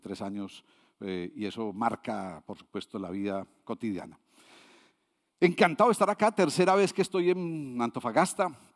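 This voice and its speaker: A man speaks at a moderate pace, his pitch swinging very widely. The recording is very clean, with a silent background. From Colombia, Medellín. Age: 60s. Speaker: international consultant, invited speaker. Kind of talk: conference talk. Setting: stage with audience. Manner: conversational with frequent fillers.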